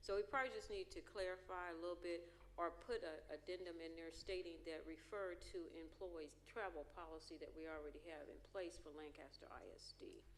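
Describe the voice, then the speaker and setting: Audible echo from the room surrounds the speech. A woman delivers it at a fairly quick pace. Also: hardly any pauses. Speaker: school board trustee. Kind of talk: board meeting discussion. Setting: board auditorium.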